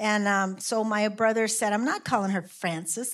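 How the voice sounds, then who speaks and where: In a Southern US accent, a woman with a medium pitch speaks at a moderate pace on a very clean recording with a silent background. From rural South Carolina, US South. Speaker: math teacher. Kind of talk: personal introduction in church. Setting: church.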